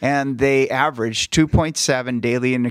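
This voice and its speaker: In a plain, everyday voice, a man at medium pitch talks at a fairly slow pace with ordinary pitch variation, the sound dry and close with no echo. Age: 50s. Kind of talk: casual chat.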